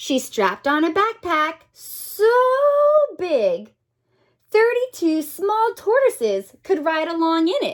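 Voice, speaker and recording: A woman puts on a squeaky character voice, extremely high-pitched and swinging very widely in pitch. Her tone is warm and animated, and her pace is fairly slow. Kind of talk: bedtime story. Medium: read story. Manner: warm, expressive, gently animated.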